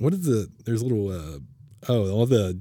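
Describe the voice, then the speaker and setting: On a very clean recording with a silent background, a man speaks at a fairly quick pace in an ordinary speaking voice with lively intonation. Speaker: podcast host. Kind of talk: casual chat.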